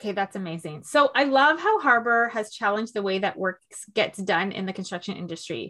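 Speaking at a fairly quick pace with a Canadian accent, a woman has an ordinary speaking voice, a medium pitch and lively intonation. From Toronto, Canada. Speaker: podcast host and executive coach. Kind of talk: interview.

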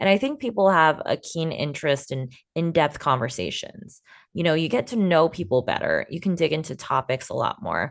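Her pitch sits fairly low for a woman, and her intonation is lively. She speaks at a moderate pace. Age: 20s. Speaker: podcast host and video producer. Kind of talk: solo podcast monologue.

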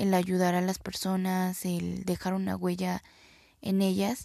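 A woman's medium-pitched voice, dark and mellow in tone, with monotone, flat intonation at a fairly slow pace, on a very clean recording against a silent background. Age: 20s. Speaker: university student. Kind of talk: personal video reflection. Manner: halting, with fillers and repetitions.

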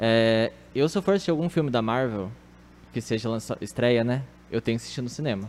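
A man speaks at a fairly quick pace and a medium pitch, with ordinary pitch variation. His pauses are long and frequent. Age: 20s. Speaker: office worker and film fan. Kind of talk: casual chat.

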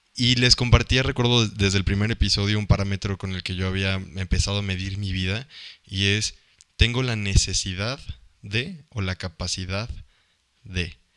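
Over a very clean recording with a silent background, a man speaks at a fairly low pitch and moderate pace with fairly even intonation. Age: 20s. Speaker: podcast co-host. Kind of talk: casual chat. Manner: halting, repeats words.

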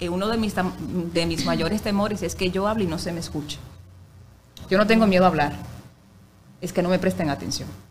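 With long, frequent pauses and fairly even intonation, a woman speaks at a fairly low pitch with vocal fry amid audible room echo. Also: fairly quick pace. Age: 30s. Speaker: radio announcer and actress. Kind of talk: casual chat.

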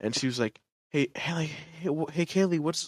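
At a moderate pace, a man with an unremarkable speaking voice talks with ordinary pitch variation in a very clean recording with a silent background. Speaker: podcast guest. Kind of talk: casual chat.

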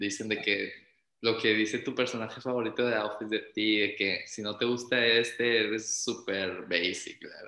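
Bright and sharp in tone, a man speaks at a medium pitch and a moderate pace with monotone, flat intonation and audible room echo. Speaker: podcast co-host. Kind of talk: casual chat.

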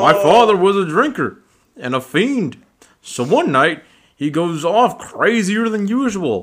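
Against a quiet background, the speaker reads aloud in a natural voice, the intonation lively.

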